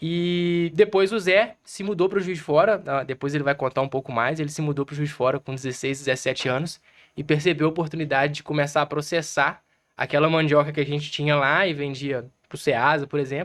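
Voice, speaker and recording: A plain, everyday voice at a fairly quick pace, with ordinary pitch variation over a quiet background. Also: man, fairly high pitch for a man. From Minas Gerais, Brazil (Zona da Mata). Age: 20s. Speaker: small business owner. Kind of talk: podcast interview.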